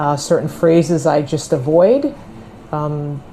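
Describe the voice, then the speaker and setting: This woman's voice has a dark, mellow tone and ordinary pitch variation. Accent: New York. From New York, US. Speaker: American expat interviewee. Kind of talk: casual interview. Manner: clear enunciation.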